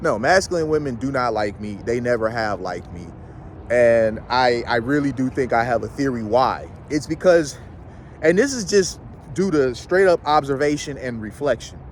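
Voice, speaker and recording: A man with an ordinary speaking voice and a medium pitch talks at a moderate pace with lively intonation. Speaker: YouTube commentator. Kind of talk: casual vlog monologue. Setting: outdoors, walking in a city. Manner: casual, conversational.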